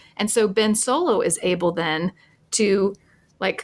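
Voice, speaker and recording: The speaker has a normal speaking voice with ordinary pitch variation. The pace is fairly slow. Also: woman. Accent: American. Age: 50s. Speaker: history professor and podcast co-host. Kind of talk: casual interview chat.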